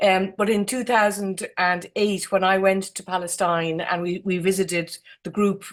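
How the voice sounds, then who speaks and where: Heard in a very clean recording with a silent background, a woman speaks with an Irish accent. Her intonation is fairly even. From Ireland. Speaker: architect, jury member. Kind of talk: awards ceremony speech. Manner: halting.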